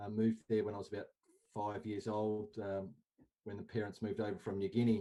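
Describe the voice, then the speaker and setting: With an Australian accent, a man speaks at a fairly quick pace in a dark, mellow tone, fairly low pitch and monotone, flat intonation. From Australia, Canberra. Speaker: indoor cricket coach. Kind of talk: casual chat.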